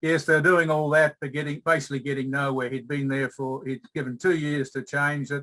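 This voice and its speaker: A man's fairly high, bright, sharp voice with an Australian accent, monotone, flat intonation. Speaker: change management consultant presenting a case study. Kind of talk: workshop presentation. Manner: halting, many fillers.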